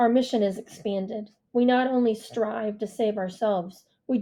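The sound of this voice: In an unforced reading voice, the speaker reads against a quiet background.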